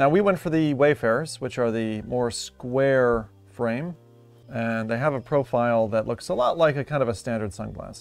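A man at a moderate pace with ordinary pitch variation, dry with no echo, faint music in the background. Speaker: tech reviewer. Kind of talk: casual unboxing commentary. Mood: upbeat, curious. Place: home room. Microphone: phone near.

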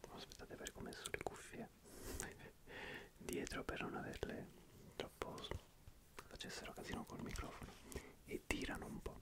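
A man whispers softly at a moderate pace, the sound dry with no echo. Loud background noise is present. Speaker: ASMR creator. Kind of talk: soft casual ASMR chat. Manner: soft ASMR whisper close to mic. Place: home room. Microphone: studio mic.

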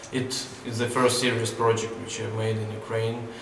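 There is audible room echo and light background noise as a man speaks with monotone, flat intonation. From southern Ukraine, Mykolaiv. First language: Ukrainian or Russian. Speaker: photographer. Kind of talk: interview monologue. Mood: calm, reflective. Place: hall.

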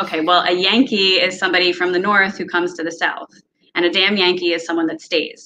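With light background noise behind her, a woman speaks at a fairly low pitch. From US Northeast, Philadelphia. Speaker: entrepreneur, marketplace founder; podcast guest. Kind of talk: casual chat. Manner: fast. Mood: friendly, amused. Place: home room. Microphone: video call.

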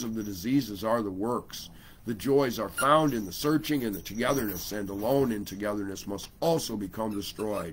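A man at a moderate pace, with ordinary pitch variation and hardly any pauses. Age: 50s. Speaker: livestream host; online radio host. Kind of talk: reading aloud own writing; casual livestream chat. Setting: home livestream on laptop. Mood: intense, proclamatory. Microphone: webcam.

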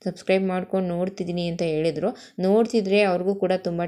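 There is a silent background on this very clean recording. The voice carries a dark, mellow tone. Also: woman. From Karnataka, Mandya area. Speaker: tailor and YouTuber. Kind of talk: casual product showcase vlog.

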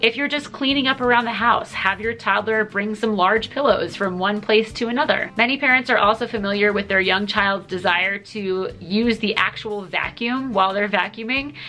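Faint music plays in the background as a woman speaks with ordinary pitch variation. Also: moderate pace, hardly any pauses. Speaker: parenting educator. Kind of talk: tutorial. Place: home room.

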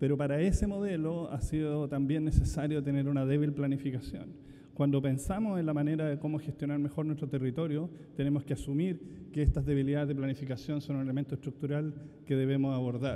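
Talking at a very fast pace, a man with a fairly high voice keeps his intonation fairly even. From Chile. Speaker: urban studies professor and researcher. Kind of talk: conference presentation. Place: hall. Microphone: podium.

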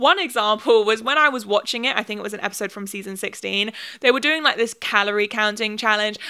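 A woman with a British accent talks at a very fast pace and a fairly high pitch, her tone bright and sharp. Her loudness swings widely against a quiet background. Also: ordinary pitch variation. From UK. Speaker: YouTuber. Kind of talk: video commentary essay. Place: home room. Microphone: handheld.

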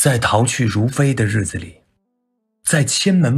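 In a medium pitch, a man speaks somewhat breathily with very wide pitch swings. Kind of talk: sleep poetry reading. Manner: soft, slow, intimate.

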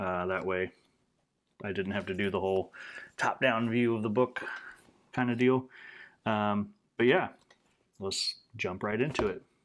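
Speaking at a moderate pace with long, frequent pauses, a man with a fairly low pitch keeps a fairly even intonation. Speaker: tabletop game reviewer. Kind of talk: casual review chat. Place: home room.

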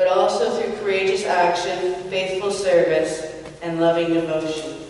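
Strong room echo fills this recording of a woman with a fairly low pitch. Her slightly mellow voice shows ordinary pitch variation.

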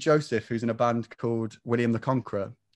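A man with an English Midlands accent at a fairly quick pace, against a quiet background. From English Midlands (near Rugby). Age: 20s. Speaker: singer-songwriter; guest. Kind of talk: casual interview; interview answer. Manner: hesitant, many fillers. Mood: relaxed, friendly. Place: home room. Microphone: video call.

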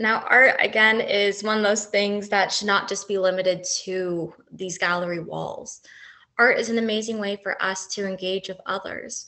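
In a Canadian accent, a woman with an unremarkable speaking voice talks at a moderate pace and medium pitch with fairly even intonation. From Canada, Toronto. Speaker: university lecturer and artist running a workshop. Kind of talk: interactive workshop presentation.

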